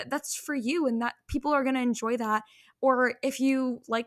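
A woman with an Ontario accent and fairly even intonation, in a dry, close sound with no echo, on a very clean recording with a silent background. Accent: Canadian English (Ontario). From Canada. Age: 20s. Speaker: podcast host. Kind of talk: casual interview chat.

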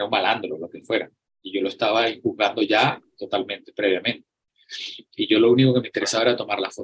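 This man talks at a very fast pace and a medium pitch. His intonation stays fairly even while his loudness swings a lot. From Venezuela (Acarigua, Barquisimeto). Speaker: photographer. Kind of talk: interview. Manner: halting, frequent repetitions.

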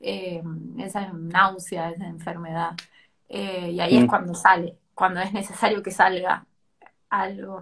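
At a fairly slow pace, a woman speaks at a medium pitch with fairly even intonation and big swings in loudness. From Tucumán, Argentina. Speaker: poet and creative writing teacher. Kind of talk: casual interview chat. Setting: Instagram live stream.

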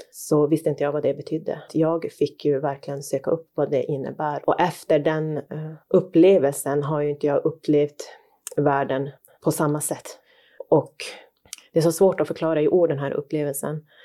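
A woman with very deep, low pitch and a dark, mellow tone speaks at a moderate pace. Her intonation is monotone and flat, and the recording is very clean with a silent background. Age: 30s. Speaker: podcast co-host. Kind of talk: casual chat.

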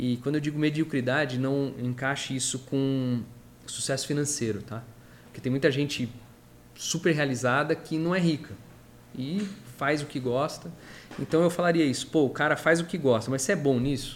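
A man speaks in a fairly high pitch at a moderate pace, with ordinary pitch variation. Long, frequent pauses break up his speech. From Brazil, São Paulo. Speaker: construction company founder. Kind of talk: interview.

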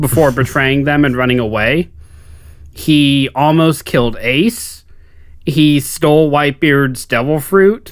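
Here a man has an unremarkable speaking voice, pitched fairly high with ordinary pitch variation. He talks at a fairly slow pace, at very even loudness. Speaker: podcast co-host. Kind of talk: casual chat.

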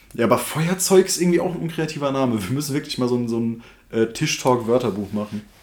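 Here a man talks at a very fast pace. His medium-pitched voice has lively intonation. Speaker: podcast host. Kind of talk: casual banter podcast. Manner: animated, jokey, rambling.

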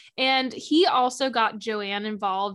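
A woman's bright, sharp voice at medium pitch with ordinary pitch variation, on a very clean recording with a silent background. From Ohio. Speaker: podcast host. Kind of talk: casual true crime podcast narration and chat. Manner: animated, casual.

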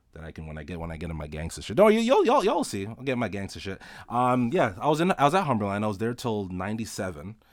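With a fairly low pitch, a man talks at a very fast pace with hardly any pauses, very wide pitch swings and big swings in loudness. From Toronto, Canada (Rexdale). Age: 20s. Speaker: podcaster. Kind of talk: casual solo monologue. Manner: casual, rambling with frequent fillers and repetitions.

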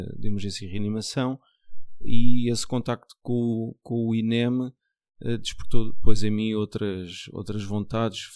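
The speaker talks fairly slowly in a Lisbon accent, with monotone, flat intonation. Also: man. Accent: European Portuguese, Lisbon area. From Portugal, Margem Sul (Lisbon south bank). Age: 40s. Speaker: nurse. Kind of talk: casual chat.

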